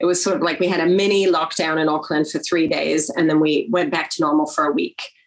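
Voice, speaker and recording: At a very fast pace, a woman with a fairly low pitch talks with ordinary pitch variation and very even loudness. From New Zealand. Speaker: politician. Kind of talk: webinar interview. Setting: video call.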